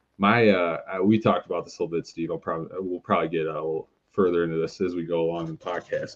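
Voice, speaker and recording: Delivered at a very fast pace with fairly even intonation and a slight Wisconsin accent, this voice sits over a quiet background. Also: man. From Milton, Wisconsin, US Midwest. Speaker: indoor football player. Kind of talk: podcast interview. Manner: halting, many fillers.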